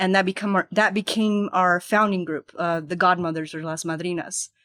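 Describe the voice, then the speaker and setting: A woman with a Spanish accent, a medium pitch and a bright, sharp tone speaks at a moderate pace. The recording is very clean, with a silent background and a dry, close sound with no echo. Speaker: nonprofit executive director. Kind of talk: podcast interview.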